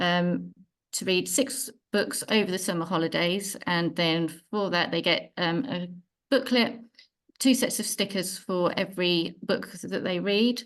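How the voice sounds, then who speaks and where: In a normal speaking voice, a woman talks at a fairly slow pace, at medium pitch with ordinary pitch variation. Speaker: library worker. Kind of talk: community meeting presentation.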